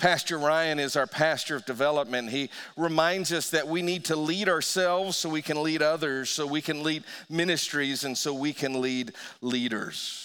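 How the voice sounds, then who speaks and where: Delivered at a moderate pace, a plain, everyday voice carries fairly even intonation. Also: man, fairly high pitch for a man. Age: 50s. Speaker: pastor. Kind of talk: sermon. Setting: church.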